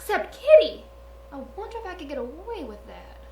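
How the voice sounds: A cartoonish character voice, female-sounding and extremely high, at a fairly quick pace over clear background noise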